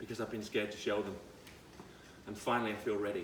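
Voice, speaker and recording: A man is speaking in a room with audible echo. Noticeable background noise can be heard behind him. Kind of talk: casual vlog monologue.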